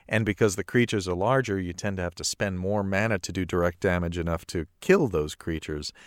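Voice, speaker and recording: Very deep, low male voice at a very fast pace with hardly any pauses, ordinary pitch variation, a dry, close sound with no echo and a very clean recording with a silent background. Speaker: podcast co-host. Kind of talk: casual banter about card game.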